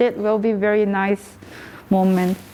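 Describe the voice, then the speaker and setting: A woman's fairly high voice with a Korean accent, over noticeable background noise. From South Korea. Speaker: artist. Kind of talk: interview. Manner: halting.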